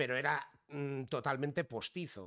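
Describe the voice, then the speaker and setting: On a very clean recording with a silent background, a man uses a normal speaking voice at medium pitch, with ordinary pitch variation and a fairly slow pace. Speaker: podcast host. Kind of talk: casual chat. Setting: live stream.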